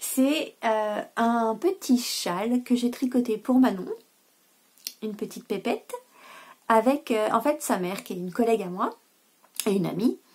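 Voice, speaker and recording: A woman's somewhat breathy, fairly high voice rises and falls sharply in loudness, with long, frequent pauses. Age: 30s. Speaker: knitting podcaster. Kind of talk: casual vlog chat. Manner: hesitant, many filler sounds.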